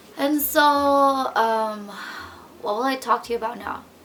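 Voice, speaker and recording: Over noticeable background noise, a woman with a Filipino accent speaks with lively intonation. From Philippines. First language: Tagalog. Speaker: vlogger. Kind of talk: unscripted vlog monologue. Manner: halting, with stutters and fillers.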